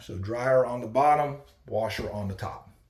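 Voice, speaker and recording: Audible room echo surrounds a man's somewhat breathy voice at a medium pitch. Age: 40s. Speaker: cabin salesman. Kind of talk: sales pitch. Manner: casual, many filler ums.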